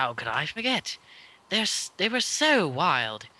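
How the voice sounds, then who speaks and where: In a put-on character voice, a man speaks at a fairly slow pace with a high pitch and very wide pitch swings. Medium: read story.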